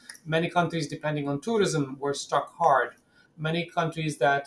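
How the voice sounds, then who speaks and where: A man talks with a fairly high pitch and a somewhat breathy voice. His intonation stays fairly even. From West Bank, Palestine. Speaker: UN communications director. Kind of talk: interview.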